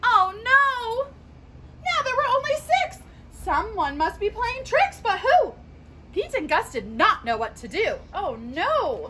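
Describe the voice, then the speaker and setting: Over light background noise, a woman uses a raised, projected voice at a very slow pace. Her pitch swings very widely. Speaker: children's story reader. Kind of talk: read-aloud storytime for children. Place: garden. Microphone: phone near.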